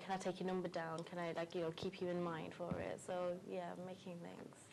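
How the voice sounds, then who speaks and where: Her intonation monotone and flat, a woman speaks with a slight West Midlands accent. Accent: slight Wolverhampton. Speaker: beauty pageant contestant. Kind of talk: interview.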